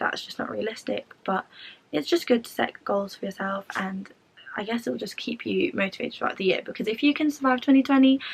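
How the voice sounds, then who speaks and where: With a London accent, a woman talks at a fairly quick pace, her pitch varying an ordinary amount. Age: 20s. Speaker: student vlogger. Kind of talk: tutorial. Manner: fast.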